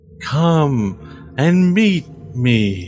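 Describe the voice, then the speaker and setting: A put-on character voice swings very widely in pitch, with clear background noise behind it. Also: man. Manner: smooth, persuasive, falsely friendly.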